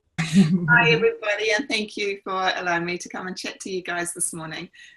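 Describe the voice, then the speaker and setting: A woman speaks with a New Zealand accent. Her pace is fairly quick, with ordinary pitch variation. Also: medium pitch for a woman. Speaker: life coach and NLP trainer. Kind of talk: online presentation. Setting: video call. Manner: casual, many fillers.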